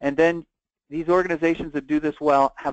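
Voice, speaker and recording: At a fairly quick pace, a man talks in a dry, close sound with no echo. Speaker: webinar presenter on behavioral health. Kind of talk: webinar presentation. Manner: fast.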